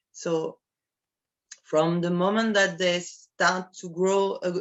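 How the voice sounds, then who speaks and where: In a French accent, the speaker goes at a very slow pace with fairly even intonation. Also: woman. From France, Normandy. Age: 50s. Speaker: coffee producer. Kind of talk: interview. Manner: halting.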